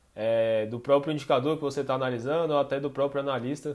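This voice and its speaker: The background stays quiet. His speech moves fairly quickly, and his intonation is fairly even. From Brazil. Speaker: finance co-host. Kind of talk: educational Q&A podcast. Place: home room.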